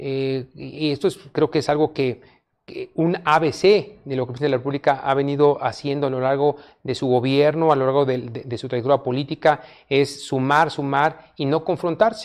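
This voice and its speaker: A man's fairly high-pitched voice with fairly even intonation, set against a quiet background. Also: moderate pace. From Mexico, Oaxaca (Mixteca region); Oaxaca, Mexico. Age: 50s. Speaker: politician and public official; politician. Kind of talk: interview. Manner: halting, repeats words. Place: studio. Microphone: lapel.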